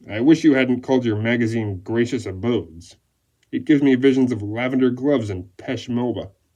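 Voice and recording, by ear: A man puts on a rumbling character voice at medium pitch. He talks at a fairly quick pace with ordinary pitch variation.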